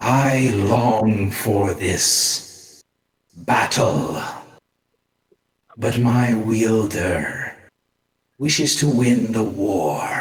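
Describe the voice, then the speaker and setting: A man puts on a character voice at a medium pitch, speaking very slowly. Long, frequent pauses break up his lines, and a slight echo is present. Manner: eerie, menacing.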